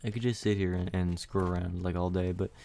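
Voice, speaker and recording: A man's very deep, low voice has a dark, mellow tone and monotone, flat intonation. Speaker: gaming YouTuber. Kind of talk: gameplay commentary. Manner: casual, hesitant with fillers.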